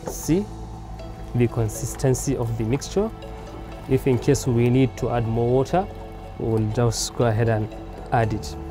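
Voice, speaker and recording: Over clear background music, a man speaks at a moderate pace with long, frequent pauses in a dry sound with no echo. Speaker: cooking show host. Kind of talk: tutorial. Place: garden.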